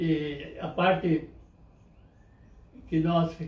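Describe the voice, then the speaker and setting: The man's voice sits at a high pitch. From Brazil, interior of São Paulo state (Pardinho). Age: 80s+. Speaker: elderly interviewee recalling farm life. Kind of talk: oral history interview. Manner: halting, with frequent repetitions.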